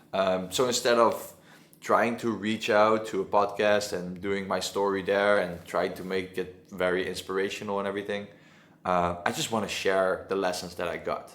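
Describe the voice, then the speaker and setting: Monotone, flat intonation at a moderate pace, with a Dutch accent. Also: man. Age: 20s. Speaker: agency owner. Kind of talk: casual talk to camera. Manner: halting.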